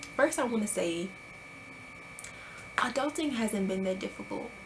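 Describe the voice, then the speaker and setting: A woman talks with noticeable background noise around her. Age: 20s. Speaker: vlogger. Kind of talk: casual vlog monologue. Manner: animated.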